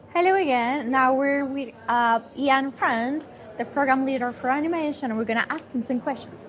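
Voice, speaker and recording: A woman's high voice with ordinary pitch variation at a moderate pace, over noticeable background noise. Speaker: student co-host. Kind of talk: casual chat. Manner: hesitant, many fillers.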